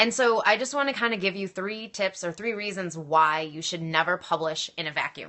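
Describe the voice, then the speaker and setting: A woman speaks at a medium pitch with lively intonation. Her pace is fairly quick, with hardly any pauses. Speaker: author and story coach. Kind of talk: live stream talk. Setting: live video stream. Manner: fast.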